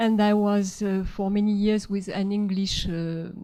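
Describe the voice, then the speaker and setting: At a moderate pace, a woman with a French accent speaks in a dark, mellow tone. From France, Marseille. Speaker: artist and therapist. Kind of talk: lecture. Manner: halting, many fillers.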